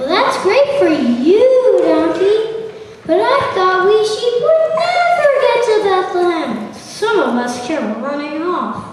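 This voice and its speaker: In a put-on character voice at an extremely high pitch, the speaker swings very widely in pitch, going fairly slowly with hardly any pauses amid a strong echo. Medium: stage play.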